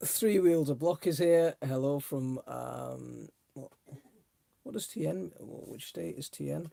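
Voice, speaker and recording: He talks at a fairly slow pace. The man has a Welsh accent. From South Wales. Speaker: allotment gardening YouTuber. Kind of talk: casual livestream chat. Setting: home livestream on laptop. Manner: casual, hesitant with fillers.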